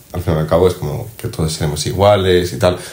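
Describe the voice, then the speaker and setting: A man with a Czech accent speaks very fast in a very deep, low voice. His pitch varies in an ordinary way, and noticeable background noise is present. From Czech Republic. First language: Czech (speaking Spanish). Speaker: exchange student. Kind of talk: casual chat.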